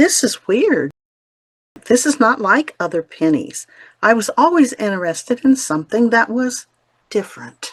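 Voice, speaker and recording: Using an American accent, a woman with a fairly high voice and vocal fry makes very wide pitch swings and takes long, frequent pauses, and the sound is dry and close with no echo. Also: moderate pace. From US Midwest, small-town Ohio. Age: 70s. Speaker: inspirational storyteller. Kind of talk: personal storytelling.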